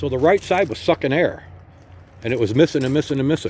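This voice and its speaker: This man speaks at a fairly quick pace with a fairly high pitch. His dark, mellow tone carries vocal fry. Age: 60s. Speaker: motorcycle seller. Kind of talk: casual walk-around sales video. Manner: casual, with many fillers.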